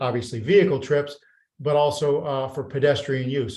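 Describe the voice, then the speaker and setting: A man speaks with a fairly high pitch. His voice is somewhat breathy. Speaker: architect presenting development project. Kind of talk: project presentation at public meeting. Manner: fast.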